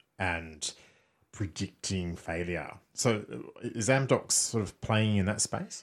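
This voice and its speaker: Very slow, fairly low-pitched male speech in an Australian accent, on a very clean recording with a silent background. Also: ordinary pitch variation. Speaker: podcast host. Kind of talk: interview. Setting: studio.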